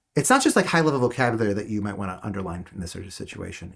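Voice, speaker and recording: Somewhat breathy, a man talks at a very fast pace. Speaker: teacher. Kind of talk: online class. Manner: halting.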